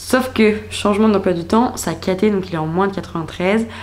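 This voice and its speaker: Noticeable background noise and audible room echo around fairly quick talking. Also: woman. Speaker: vlogger. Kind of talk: casual vlog narration. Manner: chatty, hesitant with fillers.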